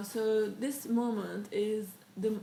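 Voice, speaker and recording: The speaker has a non-native accent. Background noise is noticeable and the room echo is audible. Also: woman. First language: not English. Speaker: interviewee sharing life story. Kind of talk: interview. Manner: halting.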